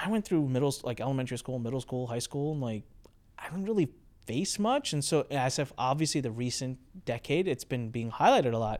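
A man's medium-pitched voice with lively intonation at a very fast pace, in a very clean recording with a silent background. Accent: American. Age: 30s. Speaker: podcast host and entrepreneur. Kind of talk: casual interview. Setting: studio. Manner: animated.

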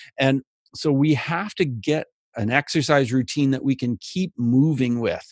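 Over a quiet background, a man speaks at a fairly slow pace in a fairly high pitch with ordinary pitch variation and a dry, close sound with no echo. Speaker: mindfulness speaker and life coach. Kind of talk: interview.

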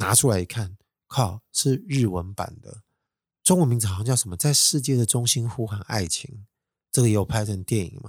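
In a Taiwanese accent, a man talks at a medium pitch, somewhat breathy and with lively intonation, on a very clean recording with a silent background. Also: moderate pace. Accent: Taiwanese Mandarin. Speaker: solo podcast host. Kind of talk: casual monologue.

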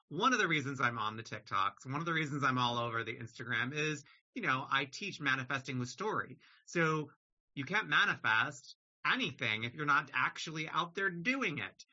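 A man in a normal speaking voice talks with a fairly high pitch, ordinary pitch variation and a moderate pace. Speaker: podcast host. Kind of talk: casual interview chat.

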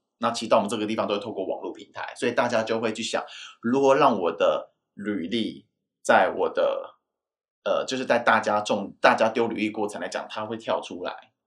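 Big swings in loudness mark a man's speech at a fairly quick pace. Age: 30s. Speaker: guest sharing job-hunting experience. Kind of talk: casual chat.

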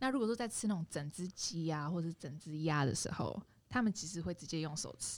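Her fairly low pitch moving with lively intonation, a woman with an unremarkable speaking voice talks at a fairly quick pace. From Indonesia, Jakarta (ethnic Chinese). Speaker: podcast guest. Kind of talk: casual chat.

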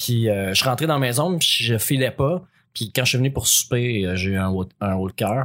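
At a moderate pace and medium pitch, a man in a normal speaking voice shows ordinary pitch variation, the recording very clean with a silent background. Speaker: podcast co-host. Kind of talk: casual chat.

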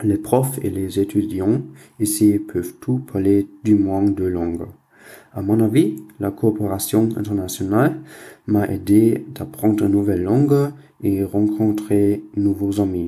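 Speaking in a German accent, a man delivers his words at a very slow pace. His voice is fairly low in pitch, with a dark, mellow tone. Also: ordinary pitch variation. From Germany. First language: German (speaking French). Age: young. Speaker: university student. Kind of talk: recorded listener message.

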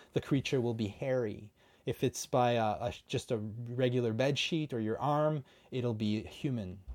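In a Canadian accent, a man with a plain, everyday voice speaks at a moderate pace, his medium pitch showing ordinary variation. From Canada. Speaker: independent filmmaker and podcast co-host. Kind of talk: casual conversational chat.

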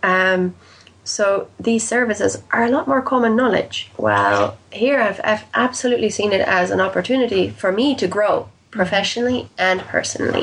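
Amid noticeable background noise, a woman talks at a moderate pace with very even loudness. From Netherlands and Canada, raised as an expat child. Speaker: life and career coach. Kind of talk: interview.

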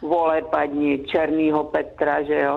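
A woman with a very deep, low pitch, talking at a fairly slow pace. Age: 70s. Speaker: grandmother, radio guest. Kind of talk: phone interview. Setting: phone call.

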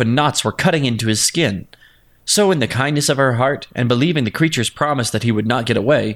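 The speaker uses a natural voice for reading.

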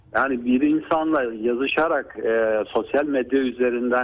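A man talks at a fairly slow pace in an ordinary speaking voice. His intonation is fairly even. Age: 50s. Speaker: neurologist. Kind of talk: radio interview. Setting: phone call.

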